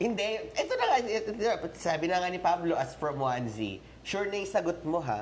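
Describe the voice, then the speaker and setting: Her voice is fairly low and animated, with very wide pitch swings at a fairly quick pace. Noticeable background noise and audible room echo fill the recording of this woman. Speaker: reaction video host. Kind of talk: casual chat.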